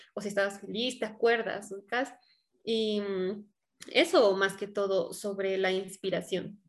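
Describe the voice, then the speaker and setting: A woman talks in an ordinary speaking voice at a fairly slow pace. Her intonation stays fairly even. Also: medium pitch for a woman. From Bolivia, La Paz. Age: 20s. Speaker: singer. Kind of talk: interview.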